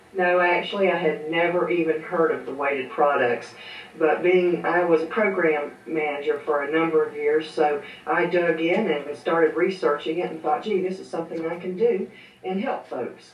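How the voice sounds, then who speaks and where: A woman with a Southern US accent talks at a moderate pace, with a fairly low pitch and fairly even intonation. Audible room echo and noticeable background noise fill the recording. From US South, central Georgia. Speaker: seamstress and small business owner. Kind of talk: interview.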